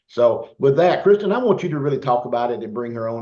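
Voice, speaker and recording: A man with a Southern US accent talks at a very fast pace in an animated tone. His voice is medium in pitch with ordinary variation. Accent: Southern US, country. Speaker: business team leader. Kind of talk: online team meeting.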